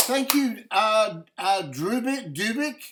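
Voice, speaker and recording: A man with an Australian accent talks at an extremely high pitch with lively intonation. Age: 70s. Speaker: chess streamer and coach. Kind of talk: live game commentary and analysis. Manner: halting, many fillers.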